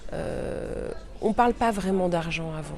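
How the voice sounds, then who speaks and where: The recording carries noticeable background noise and audible room echo. Through it, a woman talks at a fairly slow pace. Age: 40s. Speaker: journalist and podcaster. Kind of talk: interview answers. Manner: hesitant, many fillers.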